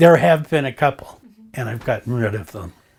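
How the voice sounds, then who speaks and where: With an American accent and lively intonation, a man talks at a moderate pace. His medium-pitched voice is somewhat breathy. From Montana, US. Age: 70s. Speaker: retired art collector. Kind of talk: documentary interview.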